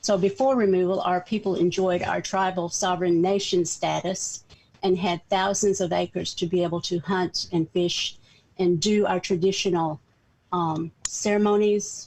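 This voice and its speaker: This woman speaks at a moderate pace in a Southern accent. Her pitch is medium, her loudness very even and her intonation fairly even. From US South, northeastern Oklahoma. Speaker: community organizer. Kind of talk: talk.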